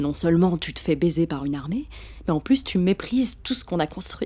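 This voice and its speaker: A woman's fairly low-pitched voice with vocal fry, in a very clean recording with a silent background. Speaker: voice actor. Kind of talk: audiobook reading.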